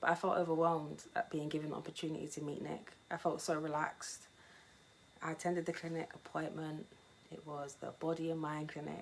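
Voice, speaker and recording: A woman's very deep, low voice, monotone and flat in intonation, at a fairly quick pace over noticeable background noise. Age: 20s. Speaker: cancer patient. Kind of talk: testimony. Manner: scripted reading.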